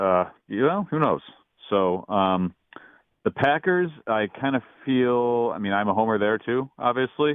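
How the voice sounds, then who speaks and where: A man with an American accent speaks at a medium pitch, his loudness very even and his speech broken by long, frequent pauses. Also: lively intonation. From Wisconsin. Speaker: caller. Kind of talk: casual sports talk call. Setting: phone call.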